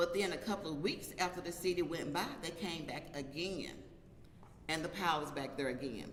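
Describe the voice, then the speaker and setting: A woman's fairly low pitch at a moderate pace, with audible room echo and noticeable background noise. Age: 60s. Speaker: local resident, community activist. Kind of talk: press conference statement.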